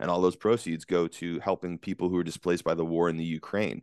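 A very deep, low male voice with an American accent, very fast and fairly even in intonation, dry and close with no echo over a quiet background. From US West Coast. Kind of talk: casual interview. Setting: video call.

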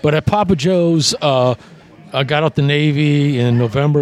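Someone with a New Orleans accent speaks at a fairly slow pace with ordinary pitch variation over noticeable background noise. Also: man. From US South. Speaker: nightclub owner. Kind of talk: casual chat.

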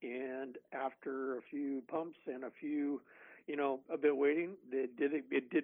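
A man with monotone, flat intonation. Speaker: barbecue expert. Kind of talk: casual chat.

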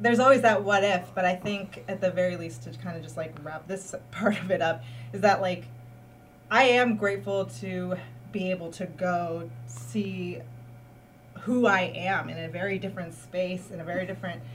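The speaker has a Californian accent and talks at a moderate pace. The pitch swings very widely. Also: woman, fairly low pitch for a woman. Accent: Californian American. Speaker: arts community manager. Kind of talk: casual chat. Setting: studio.

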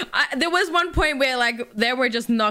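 The pace is fairly quick. It's a woman with an Australian accent. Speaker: gaming podcast co-host, competitive gamer. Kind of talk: casual chat.

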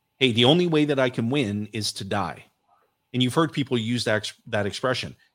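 A man speaks in a plain, everyday voice at medium pitch with ordinary pitch variation. The recording is very clean, with a silent background. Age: 40s. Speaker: financial coach and author. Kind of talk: interview.

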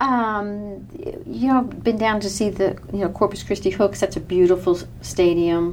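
A woman with an American accent talks with lively intonation, and noticeable background noise can be heard. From New York. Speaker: baseball fan, minor league team staff. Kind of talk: casual chat.

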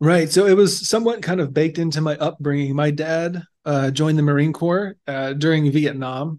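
With an American accent and an ordinary speaking voice, a man speaks at a moderate pace and fairly high pitch, his intonation fairly even and hardly any pauses. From Alabama, US South (small rural town). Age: young. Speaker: Marine Corps veteran and software engineer. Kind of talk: interview.

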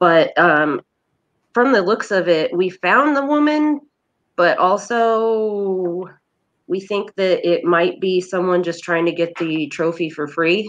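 Very slowly, a woman with an American accent speaks at a medium pitch with lively intonation against a quiet background. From Indiana. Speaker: thrift shop owner and event organizer. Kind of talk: casual interview chat.

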